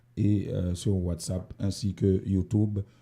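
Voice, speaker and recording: A man's somewhat breathy, dark and mellow voice, fairly low in pitch with fairly even intonation, on a very clean recording with a silent background. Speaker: community radio host. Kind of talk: radio magazine show. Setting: radio studio, also streamed live. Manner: hesitant, many fillers.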